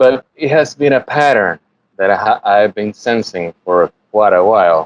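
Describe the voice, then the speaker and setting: With a Puerto Rican accent, a man talks in a fairly low pitch and lively intonation. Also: fairly slow pace. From Puerto Rico. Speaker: animation artist. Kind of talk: interview. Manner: halting, many repetitions.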